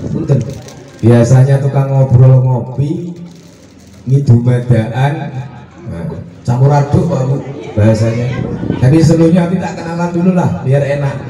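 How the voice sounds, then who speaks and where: Noticeable background noise and audible room echo around a man with a fairly high pitch, a moderate pace, and long, frequent pauses. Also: ordinary pitch variation. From Central Java (Demak, near Semarang). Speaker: religious speaker (ustadz). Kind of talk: sermon.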